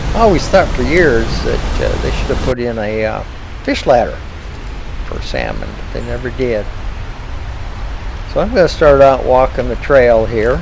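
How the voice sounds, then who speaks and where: A man talks at a moderate pace with long, frequent pauses. Noticeable background noise and audible room echo fill the recording. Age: 70s. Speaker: hiking vlogger. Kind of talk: walking vlog narration. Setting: outdoors on a trail. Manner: frequent hesitations.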